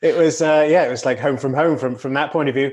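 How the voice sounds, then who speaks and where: A man with a British accent at a fairly high pitch, against a quiet background. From Britain. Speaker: racing driver. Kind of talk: podcast interview.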